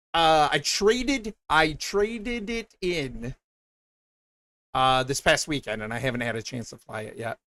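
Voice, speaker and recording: A man with a Michigan accent speaks at a fairly slow pace in a fairly high pitch, his bright, sharp tone swinging very widely in pitch and heavily in loudness, captured dry and close with no echo. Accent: Michigan accent, clipped and mushed words. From Michigan, US Midwest. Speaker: streamer. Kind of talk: casual live-stream chat. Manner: upbeat.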